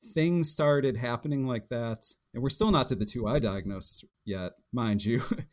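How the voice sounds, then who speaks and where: A man's plain, everyday voice at medium pitch, moving at a moderate pace with lively intonation. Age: 30s. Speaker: patient with rare muscle disease. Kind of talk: interview testimony.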